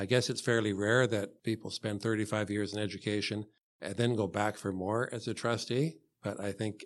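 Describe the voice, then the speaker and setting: In a Canadian accent, a man with a normal speaking voice and fairly low pitch is heard on a very clean recording with a silent background. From Canada, Hamilton, Ontario. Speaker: school board trustee candidate. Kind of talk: interview. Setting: studio.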